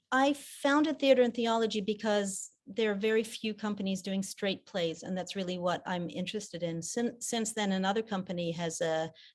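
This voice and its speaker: At a moderate pace and a medium pitch, a woman with an American accent speaks with ordinary pitch variation against a quiet background. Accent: American accent by default. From mixed: Japan, South Africa, England. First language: French. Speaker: theater director. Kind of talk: interview. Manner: halting, repeats words.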